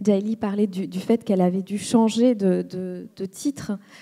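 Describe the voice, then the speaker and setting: Her tone is dark and mellow. The woman speaks at a fairly slow pace with fairly even intonation. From Rwanda. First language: Kinyarwanda (speaking French). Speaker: writer on a literary panel. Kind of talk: panel discussion. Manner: halting, many hesitations and repetitions.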